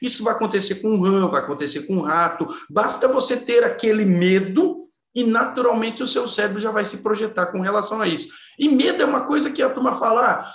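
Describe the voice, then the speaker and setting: A man speaks at a fairly quick pace in a high voice with lively intonation, and audible room echo surrounds him. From Brazil, São Paulo state (Caçapava). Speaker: engineer and neuroscience speaker. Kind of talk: interview conversation.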